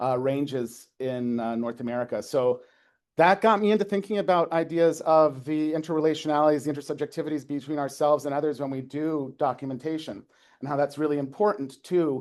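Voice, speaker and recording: Over a quiet background, a man talks at a fairly quick pace and a fairly high pitch with ordinary pitch variation. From Canada, Prince Edward Island. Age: 40s. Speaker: folklore lecturer. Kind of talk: academic talk, reading aloud a prepared piece. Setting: lecture with live audience. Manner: fast; hesitant with fillers.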